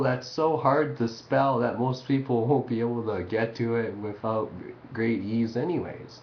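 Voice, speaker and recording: A man's voice with audible room echo. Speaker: amateur experimental artist. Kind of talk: casual webcam monologue.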